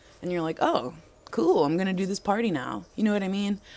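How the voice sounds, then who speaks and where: Soft-spoken but animated in tone, this speaker talks at a very fast pace with ordinary pitch variation and an American accent. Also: woman. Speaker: DJ and vlogger. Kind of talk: casual vlog monologue.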